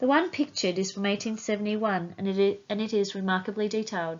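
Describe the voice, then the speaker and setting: Speaking with an Australian accent, a woman talks at a fairly quick pace with a medium pitch. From Iceland, raised in Australia. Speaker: volunteer genealogist. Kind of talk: recorded presentation talk.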